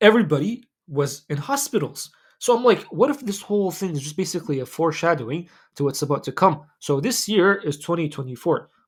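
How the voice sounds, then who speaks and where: A man with a non-native accent talks at a very fast pace with high pitch and lively intonation. The recording is very clean with a silent background. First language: not English. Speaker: Islamic lifestyle YouTuber. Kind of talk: casual commentary monologue. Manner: casual, filler-heavy.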